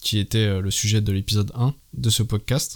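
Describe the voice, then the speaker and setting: A man's fairly slow, monotone, flat delivery in a very clean recording with a silent background. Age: 30s. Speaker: podcast host. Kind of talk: solo commentary monologue.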